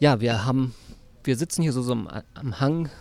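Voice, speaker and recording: A man's voice sits at a medium pitch, with normal rise and fall, delivered at an unhurried, moderate speed. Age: 40s. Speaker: podcast host. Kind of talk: casual chat. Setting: outdoors in a park.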